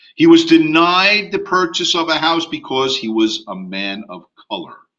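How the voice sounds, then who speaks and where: In an American accent, a man talks at a moderate pace and a high pitch. His pitch swings are very wide and his loudness swings big. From US. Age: 60s. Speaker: real estate instructor. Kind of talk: online class lecture. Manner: casual, conversational.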